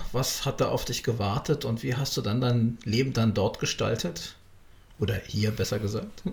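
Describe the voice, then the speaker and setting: A somewhat breathy male voice at a medium pitch, with ordinary pitch variation and a moderate pace. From Berlin. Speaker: podcast host. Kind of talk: interview.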